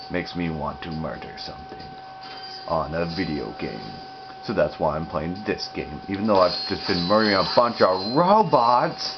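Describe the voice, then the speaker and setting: With a very deep, low pitch and very wide pitch swings, a man speaks at a moderate pace amid audible room echo and noticeable background noise. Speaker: gaming youtuber. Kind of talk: gameplay commentary. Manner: quiet.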